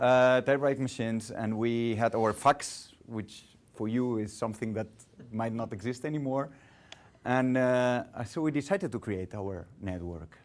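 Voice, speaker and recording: A man talks at a fairly slow pace. He speaks with a Catalan accent. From Catalonia, Spain. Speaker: guest lecturer in public relations. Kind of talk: lecture. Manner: halting.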